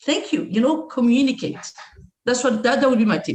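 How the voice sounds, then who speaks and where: A woman with a non-native accent speaks at a fairly quick pace in a high voice. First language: not English. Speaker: martial arts instructor. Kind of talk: podcast interview.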